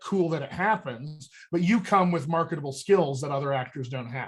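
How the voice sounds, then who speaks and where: On a very clean recording with a silent background, a man with an American accent speaks at a moderate pace in a fairly high pitch, with an animated tone and lively intonation. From United States. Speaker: voice and dialect coach. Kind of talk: workshop talk.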